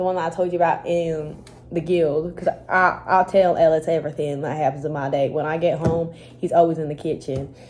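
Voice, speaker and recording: In an American accent, a woman with a fairly low voice speaks at a moderate pace in an animated tone. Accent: slight Texas accent around her flatmate. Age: young. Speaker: student vlogger. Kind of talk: casual vlog chat. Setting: university study room.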